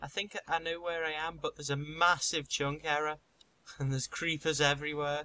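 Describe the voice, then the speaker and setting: A man with a Liverpool accent talks at a fairly quick pace, his pitch fairly high and his tone bright and sharp. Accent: Scouse (Liverpool). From Liverpool, England. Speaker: gaming YouTuber. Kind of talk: casual chat. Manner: animated.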